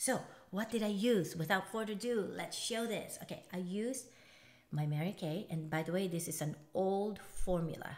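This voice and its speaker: With audible room echo, a woman speaks at a medium pitch and ordinary pitch variation. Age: 50s. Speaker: beauty vlogger. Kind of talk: makeup tutorial. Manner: fast; casual, chatty.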